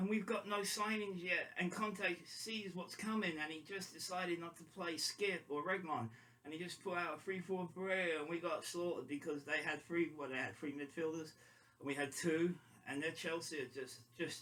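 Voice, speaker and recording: The speaker is a man with a fairly high pitch. His tone is bright and sharp. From London. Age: 50s. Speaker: football fan vlogger. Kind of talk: casual monologue. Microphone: quiet, temporary mic.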